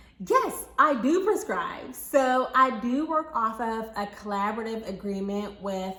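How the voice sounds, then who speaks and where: Through noticeable background noise and audible room echo, a woman's voice comes across fairly high in pitch. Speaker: pharmacy professor and YouTuber. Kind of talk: casual vlog Q&A. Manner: conversational, many fillers.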